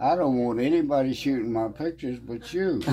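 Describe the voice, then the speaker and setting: Speaking at a medium pitch, a man is heard over noticeable background noise. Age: 80s+. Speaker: retired photographer. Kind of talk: interview answer.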